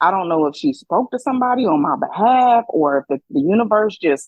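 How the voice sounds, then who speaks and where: Loud and fairly quick, a woman speaks with very wide pitch swings. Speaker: podcast co-host. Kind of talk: casual chat. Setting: hydro massage area.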